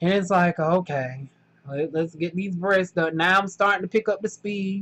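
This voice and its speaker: A woman in a strong Southern US accent speaks at a fairly low pitch with ordinary pitch variation. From US South, North Carolina. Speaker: factory worker vlogger. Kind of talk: casual vlog monologue. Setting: indoors during thunderstorm. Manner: animated, colloquial.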